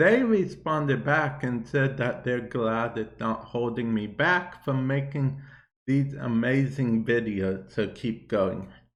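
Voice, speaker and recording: In audible room echo, a man talks at a very slow pace. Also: medium pitch for a man, ordinary pitch variation. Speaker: gaming YouTuber podcast host. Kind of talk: casual solo podcast talk.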